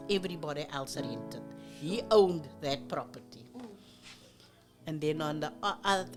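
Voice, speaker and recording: Music plays in the background as a woman talks at a moderate pace, stopping for long, frequent pauses. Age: 80s+. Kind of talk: oral history interview answer.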